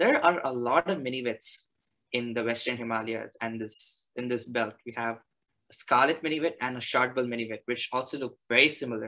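A man talks at a moderate pace in a bright, sharp tone. The background is quiet. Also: fairly even intonation. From India, Chennai; India. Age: 20s. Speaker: naturalist and graduate student; presenter. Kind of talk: presentation. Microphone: video call.

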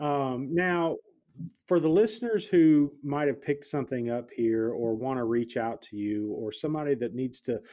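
The voice has a dark, mellow tone and lively intonation at a moderate pace. The background is quiet. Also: man. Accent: Southern US. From US South. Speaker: podcast host, real estate investor; podcast host. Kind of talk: podcast interview. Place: home room. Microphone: studio mic.

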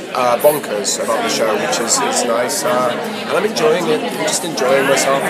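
A man at a moderate pace, hardly pausing, over loud background noise. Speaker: actor. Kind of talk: interview answer. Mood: cheerful, animated. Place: hall. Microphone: handheld.

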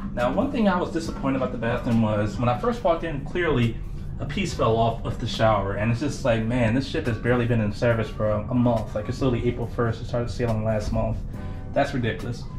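Clear music plays in the background as a man speaks at a very fast pace with ordinary pitch variation. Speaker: travel vlogger. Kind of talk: casual vlog chat. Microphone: phone near.

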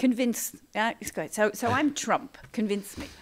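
A woman uses a normal speaking voice at a fairly high pitch. Her pace is moderate. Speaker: podcast host and panel moderator. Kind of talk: moderated panel discussion. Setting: event hall with live audience.

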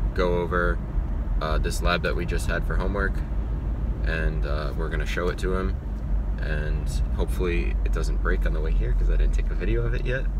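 A man talks at a fairly quick pace in a dry sound with no echo. Noticeable background noise sits behind him. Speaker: college student vlogger. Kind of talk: casual vlog chat. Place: car. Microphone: phone near.

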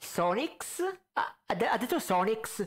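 A man speaks slowly at a high pitch. His intonation is lively.

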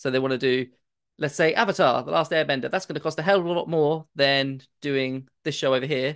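A man with a British accent talks at a fairly quick pace and fairly high pitch, with ordinary pitch variation, against a quiet background. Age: 30s. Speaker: podcast panelist. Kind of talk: casual chat.

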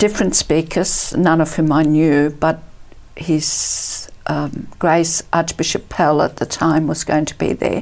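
A woman speaks fairly slowly at a fairly low pitch, with vocal fry. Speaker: interview guest. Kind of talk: interview answer. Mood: warm, reflective. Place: studio.

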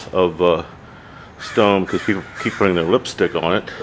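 At a fairly quick pace, a man talks with a very deep, low pitch. There is light background noise. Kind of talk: casual vlog chat. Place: open country. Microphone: phone near.

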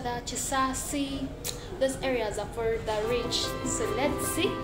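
There is music in the background as a woman speaks. Her pace is very slow, with ordinary pitch variation. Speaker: vlogger. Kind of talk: casual vlog chat. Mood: cheerful, smiling. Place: street. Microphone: phone near.

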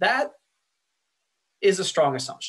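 The background is quiet as a man talks. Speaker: lecturer. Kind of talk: lecture.

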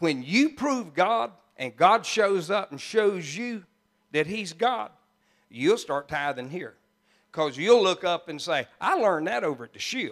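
Over a quiet background, a man with a high pitch and an animated, warm tone speaks at a fairly slow pace, with very wide pitch swings and big swings in loudness. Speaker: pastor. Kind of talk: sermon. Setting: church. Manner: animated, warm and jokey, laughing as he preaches; folksy, conversational, with country turns of phrase. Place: church. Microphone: handheld.

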